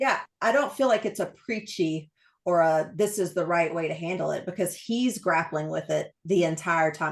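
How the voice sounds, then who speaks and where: Against a quiet background, a woman talks in an East Texas accent. She keeps a moderate pace with ordinary pitch variation. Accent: thick East Texas. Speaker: book channel host, interviewer. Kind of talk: casual interview host talk.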